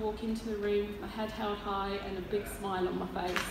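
A woman talks at a fairly quick pace in a flat monotone, with noticeable background noise and audible room echo. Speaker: speaker. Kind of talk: personal testimony speech. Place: hall.

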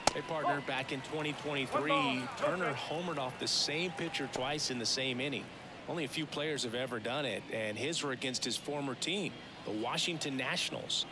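This man's voice sits fairly high and moves at a moderate pace with ordinary pitch variation. Noticeable background noise runs behind him. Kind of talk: sports color commentary, analyst. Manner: conversational, explanatory.

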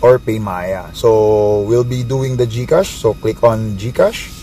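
A man talks very slowly, music playing in the background. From Philippines. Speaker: network marketing distributor. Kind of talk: tutorial. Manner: casual, hesitant with fillers.

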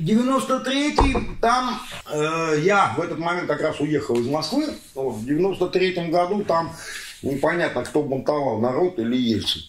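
A man talks at a high pitch and a moderate pace, his pitch swinging very widely. Audible room echo and light background noise surround him. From Astrakhan, Russia; Russia. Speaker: entrepreneur; interviewee. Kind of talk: interview answer; interview answer, animated conversation. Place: home room. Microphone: camera far.

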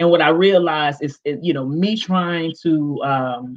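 A woman's low-pitched voice at a fairly slow pace, with ordinary pitch variation.

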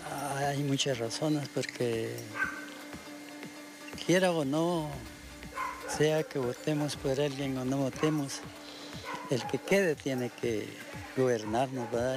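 Over music in the background, a man with a Guatemalan accent talks at a very slow pace in a medium pitch, leaving long, frequent pauses. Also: ordinary pitch variation. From Guatemala, Esquipulas. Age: 80s+. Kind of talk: street interview answer. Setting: outdoors.

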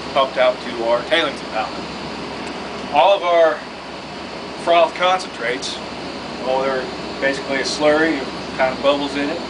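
Loud background noise surrounds speech delivered at a moderate speed. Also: man. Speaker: mine plant guide. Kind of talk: tour explanation. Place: factory. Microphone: camera far.

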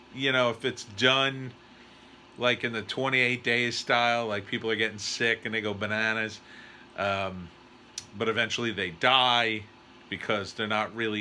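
A man's bright, sharp tone at a fairly slow pace, with fairly even intonation and light background noise. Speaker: writer reviewing a trailer. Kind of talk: casual reaction commentary. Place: home room. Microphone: phone near.

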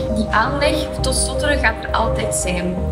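Loud music fills the background. Over it, a woman speaks at a moderate pace. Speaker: marketeer. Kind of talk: interview answer. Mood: calm, reflective, gesturing. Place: studio. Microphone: lapel.

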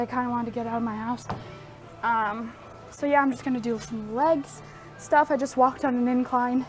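The speech moves at a moderate pace with ordinary pitch variation. Faint music plays in the background. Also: woman. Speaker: vlogger. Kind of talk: casual vlog chat. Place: gym. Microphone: earbuds.

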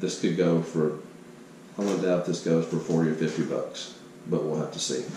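Light background noise and audible room echo around a man's fairly slow delivery. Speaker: yard sale reseller. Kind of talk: casual vlog chat. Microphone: phone near.

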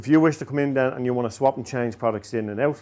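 His pitch shows ordinary variation. The man speaks at a very fast pace. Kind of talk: sales explanation to camera. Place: shop. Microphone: lapel.

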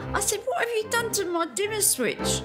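Clear music can be heard behind the voice. A woman talks fairly quickly. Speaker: retired civil servant. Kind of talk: interview answer. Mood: amused, reminiscing. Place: studio.

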